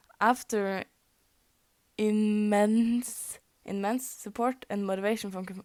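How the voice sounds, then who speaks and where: Fairly slow, monotone, flat delivery from a woman with a Norwegian accent, in a dry, close sound with no echo. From Norway. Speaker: fanfic reader. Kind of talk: reading aloud. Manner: halting, stumbles over words.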